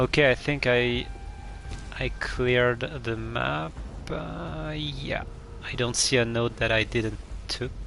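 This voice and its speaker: This man speaks very slowly and stops often for long pauses. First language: French. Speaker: video game streamer. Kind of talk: live gameplay commentary. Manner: halting, many fillers.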